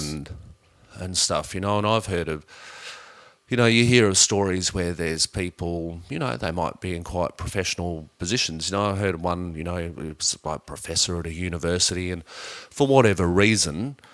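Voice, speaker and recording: In an Australian accent, a man speaks at a moderate pace with a very deep, low pitch and ordinary pitch variation. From Adelaide, South Australia. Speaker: climate scientist and physicist. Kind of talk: interview answer.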